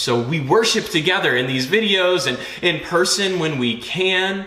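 In a room with strong echo, a man talks with lively intonation, a fairly high pitch and a bright, sharp tone.

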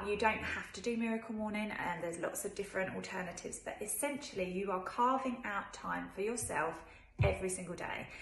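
A woman talks at a fairly quick pace with ordinary pitch variation. Audible room echo surrounds her voice. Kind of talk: casual vlog chat. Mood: warm, upbeat, encouraging. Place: kitchen. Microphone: phone near.

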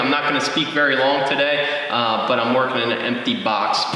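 The speech moves at a fairly quick pace with ordinary pitch variation. Strong room echo fills the recording. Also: man. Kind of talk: casual vlog chat. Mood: friendly, upbeat. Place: garage.

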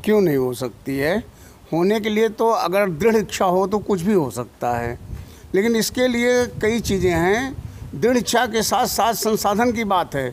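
Over light background noise, a man with a high pitch talks at a fairly slow pace with lively intonation. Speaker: retired senior civil servant; interviewee. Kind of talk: interview. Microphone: handheld.

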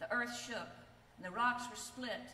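A woman's bright, sharp, fairly high voice at a fairly slow pace, ordinary pitch variation, and audible room echo

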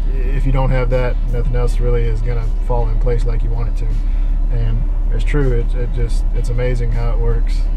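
Moderate-paced male speech with clear background music. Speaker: fishing vlogger. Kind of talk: casual vlog chat. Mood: reflective, grateful. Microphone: phone near.

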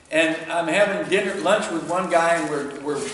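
Over light background noise and audible room echo, a man talks at a moderate pace in a high pitch. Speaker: club demonstrator. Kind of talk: presentation to audience, storytelling. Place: workshop. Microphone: camera far.

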